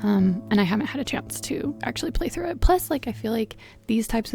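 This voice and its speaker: Soft-spoken at a fairly high pitch, a woman speaks at a moderate pace with music in the background. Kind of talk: casual talk over gameplay.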